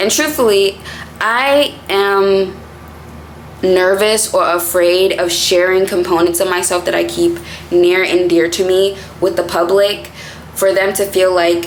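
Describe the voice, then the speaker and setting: At a fairly slow pace, a woman with an American accent speaks at medium pitch with fairly even intonation. There is audible room echo and noticeable background noise. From Boston, Massachusetts. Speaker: content creator. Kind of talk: casual vlog talk to camera.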